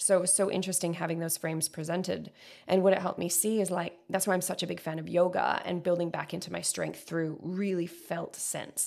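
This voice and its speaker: In a very clean recording with a silent background, a woman talks at a fairly quick pace in a fairly low, monotone voice with flat intonation and vocal fry. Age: 30s. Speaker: podcast host and coach. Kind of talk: casual chat.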